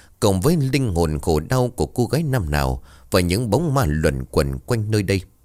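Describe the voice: This recording is plain reading aloud.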